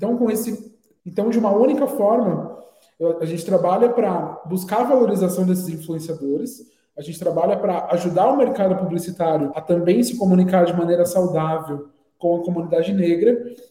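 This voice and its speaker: A man speaks at a fairly quick pace with a high pitch. His pitch varies in an ordinary way, and room echo is audible. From Brazil, Guarulhos (São Paulo area). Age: 20s. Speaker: advertising professional and agency founder. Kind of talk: interview.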